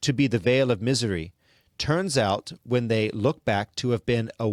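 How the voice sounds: Against a quiet background, the pitch varies in an ordinary way in a natural reading voice.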